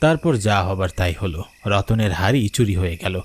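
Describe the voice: Fairly low in pitch, a man's voice carries a slightly husky edge. He speaks at a moderate pace.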